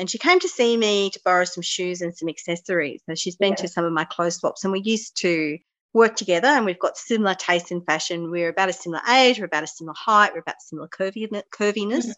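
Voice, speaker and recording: With an Australian accent, a woman talks very fast at a medium pitch with ordinary pitch variation. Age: 40s. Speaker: podcast host. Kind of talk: casual chat.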